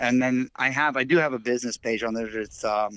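A man's medium-pitched voice with an American accent, at a moderate pace, an ordinary speaking voice. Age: 40s. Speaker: fly tyer and dubbing maker. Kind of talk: casual chat.

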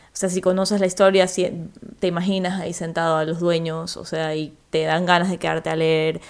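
Her intonation stays monotone and flat. The woman's pitch is fairly low. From Ecuador. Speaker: writer. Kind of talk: casual chat.

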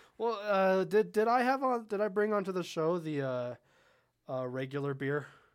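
With an American accent, a man speaks at a high pitch that swings very widely, at a moderate pace. He leaves long, frequent pauses, and the recording is very clean with a silent background. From Southern California. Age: young. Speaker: podcast co-host. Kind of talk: casual chat.

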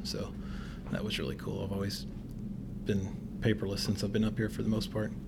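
The tone is dark and mellow, with vocal fry. Room echo is audible. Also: man. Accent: American. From US South, northwest Tennessee. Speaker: realtor and real estate investor. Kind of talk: casual interview.

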